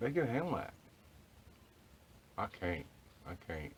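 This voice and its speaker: A man speaks at a moderate pace in a somewhat breathy voice. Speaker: homesteading vlogger. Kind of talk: casual vlog monologue. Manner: quiet, almost whispering.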